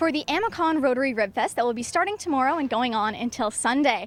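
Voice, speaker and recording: A woman with a Canadian accent, high-pitched, fairly quick in pace, with lively intonation. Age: young. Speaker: TV reporter and host. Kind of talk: news reading. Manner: clear, formal broadcast delivery.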